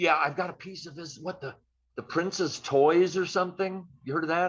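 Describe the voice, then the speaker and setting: Speaking at a moderate pace with an American accent, a man uses a high pitch, fairly even intonation and big swings in loudness. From US Midwest, St. Louis. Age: 70s. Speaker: guitarist. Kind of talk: casual interview. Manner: casual.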